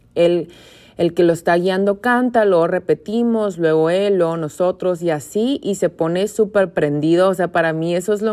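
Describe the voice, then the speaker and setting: A woman's ordinary speaking voice at a fairly low pitch, with fairly even intonation and a fairly slow pace. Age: 20s. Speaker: podcast host, yoga teacher. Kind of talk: casual monologue.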